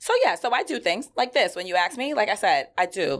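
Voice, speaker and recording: Talking at a very fast pace, a woman with a New York accent sounds animated. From New York, Queens (Flushing). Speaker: entrepreneur. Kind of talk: interview.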